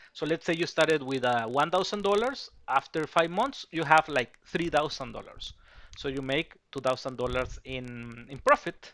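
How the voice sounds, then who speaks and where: A man with a Spanish accent, fairly high pitch and bright, sharp tone, on a very clean recording with a silent background. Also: ordinary pitch variation, moderate pace. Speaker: betting tipster. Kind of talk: sales pitch. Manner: halting, many fillers and repetitions.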